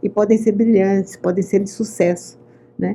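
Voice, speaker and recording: A woman's voice comes through in a dark, mellow tone that is somewhat breathy. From Brazil, São Paulo state. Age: 80s+. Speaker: clinical psychologist. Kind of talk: interview.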